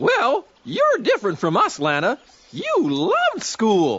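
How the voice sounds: A cartoonish character voice at a fairly slow pace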